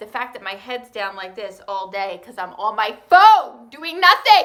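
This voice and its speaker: A woman speaks with a New Jersey accent. Her tone is bright and sharp. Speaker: high school math teacher. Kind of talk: recorded online lesson. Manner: animated; casual.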